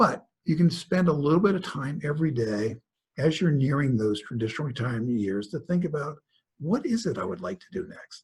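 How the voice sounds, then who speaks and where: Marked by vocal fry, a man at a fairly high pitch talks at a moderate pace with very wide pitch swings. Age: 60s. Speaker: author and speaker on work in later life. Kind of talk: webinar presentation. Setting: online webinar. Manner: conversational.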